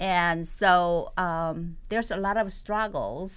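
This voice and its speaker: Here is a woman with a Korean accent. Her voice sits at a medium pitch. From South Korea. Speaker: poet and playwright. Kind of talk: interview. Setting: studio. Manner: halting, many fillers.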